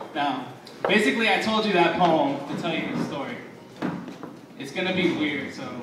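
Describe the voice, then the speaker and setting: Noticeable background noise sits beneath speech that stops often for long pauses. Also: man, high pitch for a man, lively intonation, moderate pace. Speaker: spoken word poet. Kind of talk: casual comedic storytelling to a live audience.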